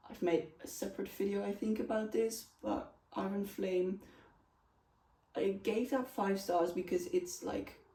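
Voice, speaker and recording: Her voice has vocal fry and a dark, mellow tone as a woman speaks at medium pitch and a fairly slow pace with ordinary pitch variation. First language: not English. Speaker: book reviewer. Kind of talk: casual chat.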